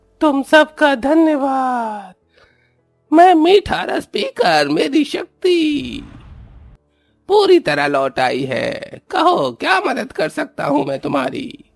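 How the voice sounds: A man's cartoonish character voice at a very slow pace, with music in the background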